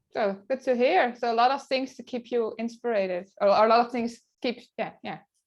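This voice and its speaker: A woman speaks with a Dutch accent at a high pitch and ordinary pitch variation. Her pace is moderate, with hardly any pauses. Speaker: photographer and blogger. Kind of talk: interview. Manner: halting.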